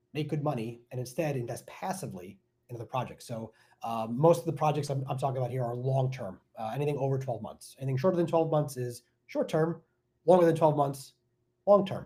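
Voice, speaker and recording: A man with an American accent talks at a fairly quick pace. His fairly high voice is dark, mellow and somewhat breathy. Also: ordinary pitch variation. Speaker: tech sales coach and real estate investor. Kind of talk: live stream workshop. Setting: live stream. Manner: fast; animated.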